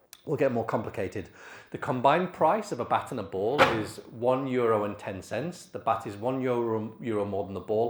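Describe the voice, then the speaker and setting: In a British accent, a man speaks at medium pitch with ordinary pitch variation. Room echo is audible. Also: big swings in loudness. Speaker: AI expert speaker. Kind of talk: conference talk. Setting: stage with audience. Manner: fast.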